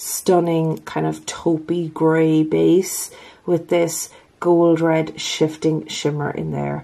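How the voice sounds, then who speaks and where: In an Irish accent, a woman speaks with a fairly low pitch and a dark, mellow tone. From Ireland. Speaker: nail polish YouTuber. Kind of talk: casual talk to camera.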